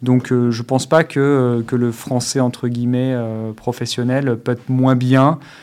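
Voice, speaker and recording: A man talks at a fairly slow pace and medium pitch, in a monotone, flat intonation with hardly any pauses. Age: 30s. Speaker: former pro golfer turned golf coach. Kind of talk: casual chat. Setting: studio.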